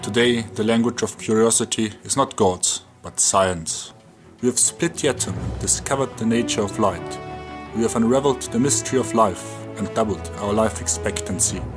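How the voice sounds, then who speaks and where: With a German accent, a man talks at a moderate pace in a fairly low voice, his pitch varying in an ordinary way while music plays in the background. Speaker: science youtuber. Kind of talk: documentary-style channel promo narration.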